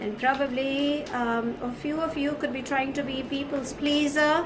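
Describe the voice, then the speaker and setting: A woman's high-pitched, warm voice with fairly even intonation and audible room echo. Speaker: tarot card reader. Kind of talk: tarot reading. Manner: warm and affectionate.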